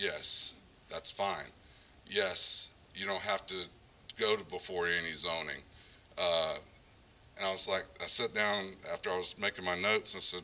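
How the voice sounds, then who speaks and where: Noticeable background noise sits behind a man with a very deep, low pitch. He talks at a moderate pace with fairly even intonation and long, frequent pauses. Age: 60s. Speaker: developer and builder. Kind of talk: conference talk.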